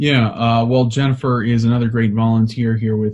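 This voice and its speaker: The voice is somewhat breathy, with a dark, mellow tone. Delivery is at a moderate pace with monotone, flat intonation. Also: man. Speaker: conservative advocacy staffer. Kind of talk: interview. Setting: video call.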